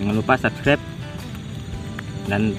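Clear music plays behind a man whose voice is fairly low in pitch. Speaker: hunting vlogger. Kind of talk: casual vlog chat. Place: open country. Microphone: phone near.

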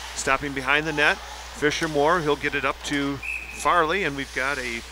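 A man with an American accent talks at a moderate pace and fairly high pitch, with ordinary pitch variation and long, frequent pauses. The sound is dry with no echo, but background noise is noticeable. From US Midwest. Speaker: sports commentator. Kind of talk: live commentary. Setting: commentary booth at ice rink. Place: stadium.

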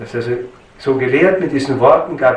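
A man with a Styrian accent, ordinary pitch variation, and audible room echo. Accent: Styrian Austrian German. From Styria, Austria. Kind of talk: lecture. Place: church.

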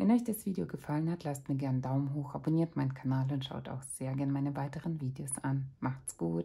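A woman's very deep, low, somewhat breathy voice, dark and mellow in tone, very fast, lively in intonation, with hardly any pauses. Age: 30s. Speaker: parenting vlogger. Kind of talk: book review. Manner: casual.

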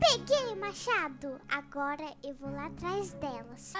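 A woman speaks at a fairly slow pace in a put-on character voice over loud background noise. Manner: sinister, menacing.

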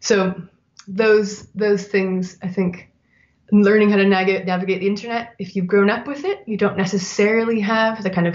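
At a fairly quick pace, a woman with a Canadian accent talks at a medium pitch with fairly even intonation. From Canada. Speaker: design writer and editor; interview guest. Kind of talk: interview. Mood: thoughtful, friendly. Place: home room. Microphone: webcam.

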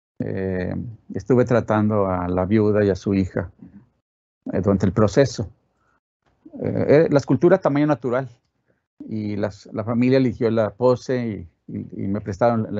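Fairly slow speech in a northern Mexican accent, with long, frequent pauses, ordinary pitch variation and a quiet background. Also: man. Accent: northern Mexican (Monterrey) Spanish. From Monterrey, northern Mexico; Mexico. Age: 70s. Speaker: sculptor. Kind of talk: interview. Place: studio.

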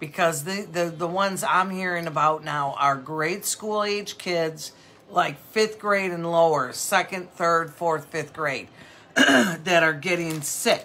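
A woman's fairly low voice at a fairly slow pace, with ordinary pitch variation. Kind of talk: casual live-stream sales chat. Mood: warm, sympathetic. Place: shop.

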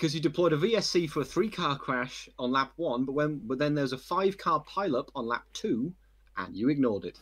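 With a fairly high pitch, a man talks at a fairly quick pace. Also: lively intonation. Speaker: sim racing driver. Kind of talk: casual chat. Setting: online voice chat. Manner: halting.

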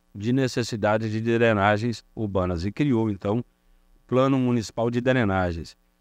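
An unremarkable speaking voice from a man at a fairly low pitch with ordinary pitch variation, the sound dry with no echo against a quiet background. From northern Minas Gerais, Brazil (rural Montes Claros); Minas Gerais, Brazil. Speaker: city councillor. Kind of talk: interview. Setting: studio. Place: studio. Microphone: handheld.

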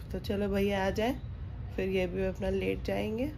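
Over light background noise, a woman speaks at a fairly slow pace with very even loudness. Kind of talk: casual vlog chat. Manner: weak, drowsy voice after childbirth. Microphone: phone near.

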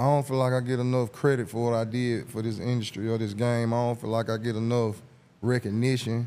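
A man with an Atlanta accent talks at a fairly quick pace in a dark, mellow tone. His intonation is monotone and flat. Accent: Southern US (Atlanta). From Atlanta, Georgia (US South). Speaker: rapper and songwriter. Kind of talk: casual interview chat. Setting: studio. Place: studio. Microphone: studio mic.

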